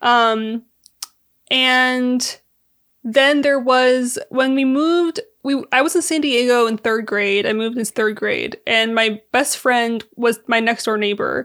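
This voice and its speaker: A woman speaks at a very slow pace in a high voice with ordinary pitch variation, on a very clean recording with a silent background. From California and Syria. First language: Arabic. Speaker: podcast guest. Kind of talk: casual chat.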